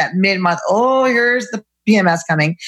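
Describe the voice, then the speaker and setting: With lively intonation, a woman in an ordinary speaking voice talks at a medium pitch. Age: 40s. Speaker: gynecologist. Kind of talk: casual chat.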